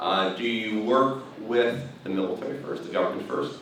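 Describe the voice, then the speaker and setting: Against noticeable background noise and audible room echo, a man speaks at a fairly low pitch with fairly even intonation. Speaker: aerospace business development consultant. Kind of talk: presentation. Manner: fast.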